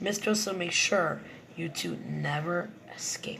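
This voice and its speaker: A raspy, put-on character voice at middle pitch and a fairly slow pace, with light background noise. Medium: read story.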